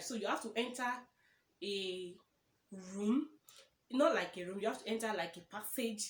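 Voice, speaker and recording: With a Nigerian accent, a woman speaks at a moderate pace in a fairly high, bright and sharp voice with lively intonation. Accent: Nigerian (Yoruba) English. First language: Yoruba. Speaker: YouTuber. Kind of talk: casual vlog chat. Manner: conversational, self-correcting.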